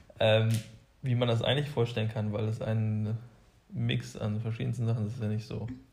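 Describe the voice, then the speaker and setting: A man speaks at a moderate pace with long, frequent pauses. His medium-pitched voice is somewhat breathy, and his intonation stays fairly even. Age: 20s. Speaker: co-host, engineering student. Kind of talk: casual chat.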